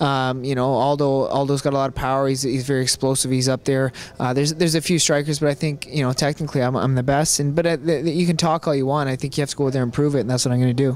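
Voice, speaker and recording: At a very fast pace, the voice stays monotone and flat with very even loudness and a dry sound with no echo. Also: man, hardly any pauses. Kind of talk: interview answer. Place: hall. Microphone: handheld.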